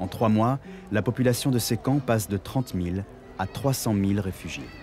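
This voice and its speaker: A man talks at a fairly low pitch while music plays behind him. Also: ordinary pitch variation, moderate pace. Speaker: voice-over narrator, stage actor. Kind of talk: documentary narration.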